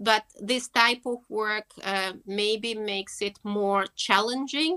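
A woman's fairly high voice with a Russian accent, bright and sharp in tone, with fairly even intonation and a dry, close sound free of echo. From Russia, Moscow. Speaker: horse keeper and equine therapist. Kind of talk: interview. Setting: video call.

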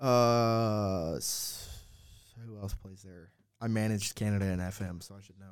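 Speaking at a fairly slow pace, a man with an ordinary speaking voice has a fairly low pitch, fairly even intonation, and big swings in loudness. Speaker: soccer podcast co-host. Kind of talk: casual chat.

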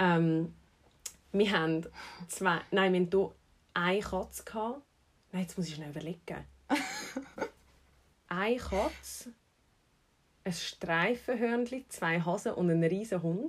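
A woman's medium-pitched voice with lively intonation, a fairly slow pace and long, frequent pauses. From Switzerland, Zurich. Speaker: personal trainer and podcast host. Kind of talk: casual chat.

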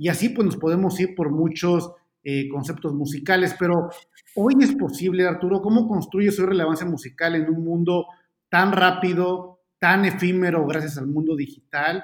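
A man with a high voice talks at a moderate pace with ordinary pitch variation. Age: 30s. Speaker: podcast host. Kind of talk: casual chat. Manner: hesitant, many fillers.

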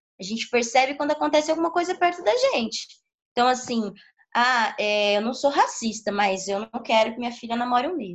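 High female voice with lively intonation at a fairly quick pace. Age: 30s. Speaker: capoeira teacher. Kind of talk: interview. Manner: halting.

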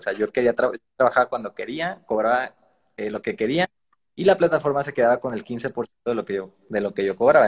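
An ordinary speaking voice, fairly quick and lively in intonation, with a dry, close sound and no echo. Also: man. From Mexico, Veracruz. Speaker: digital marketer. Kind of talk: interview on a live stream.

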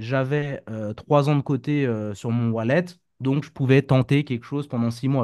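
Delivery comes at a moderate pace with ordinary pitch variation. Behind it the background is quiet. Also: man. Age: 30s. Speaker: crypto trader and entrepreneur. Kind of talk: casual interview. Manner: hesitant, many fillers.

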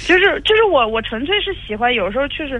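The woman's speech keeps a moderate pace. Noticeable background noise accompanies her. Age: 20s. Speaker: caller. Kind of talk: phone call-in advice. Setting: phone call. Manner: halting.

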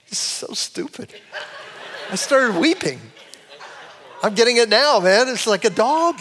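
Amid noticeable background noise, a man with an extremely high pitch talks at a fairly slow pace, using lively intonation and long, frequent pauses. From Cleveland, Ohio. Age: 60s. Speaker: pastor. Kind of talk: sermon. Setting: church.

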